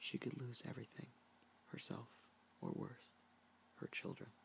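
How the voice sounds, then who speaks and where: This soft-spoken voice moves at a fairly slow pace. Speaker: ASMR creator. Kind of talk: book reading.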